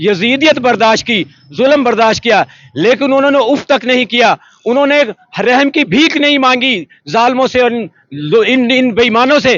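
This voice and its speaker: A man speaks in a passionate tone at an extremely high pitch. His pitch varies in an ordinary way. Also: very even loudness. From Pakistan. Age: old. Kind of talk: street interview answer. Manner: passionate, emotional.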